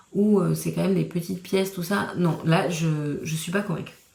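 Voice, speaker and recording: Audible room echo surrounds a woman speaking at a moderate pace in a fairly low pitch. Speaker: crafting vlogger. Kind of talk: casual vlog talk. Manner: monotone; hesitant, many fillers.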